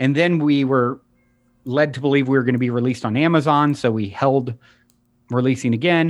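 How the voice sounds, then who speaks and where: Over music in the background, a man talks at a fairly quick pace with long, frequent pauses. His pitch is medium, his intonation fairly even and his loudness very even. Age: 40s. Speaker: podcast host and author. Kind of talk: casual chat.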